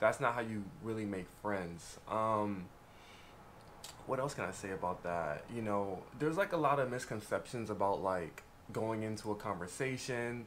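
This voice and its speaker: A man with a fairly low pitch, ordinary pitch variation and a moderate pace, with audible room echo. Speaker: YouTuber, former conservation corps member. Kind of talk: casual vlog talk. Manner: quiet, soft-spoken usually; louder than usual, feels like yelling.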